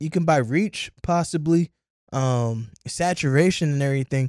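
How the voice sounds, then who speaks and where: In a plain, everyday voice, a man with an American accent speaks at a fairly slow pace with ordinary pitch variation, the sound dry and close with no echo. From Columbus, Ohio, US. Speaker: entrepreneur and community organizer. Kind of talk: casual interview chat. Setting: studio.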